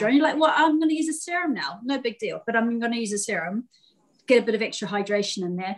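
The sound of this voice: A woman talks at a fast pace. Her fairly high pitch carries lively intonation.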